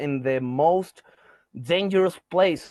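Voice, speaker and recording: A man with a Spanish accent speaks at a very slow pace with ordinary pitch variation. The sound is dry and close, with no echo. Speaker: band member interviewed. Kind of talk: interview. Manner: halting.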